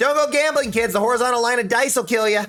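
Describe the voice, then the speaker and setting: A man does a put-on character voice, talking at a very fast pace in an extremely high pitch. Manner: quirky, jokey.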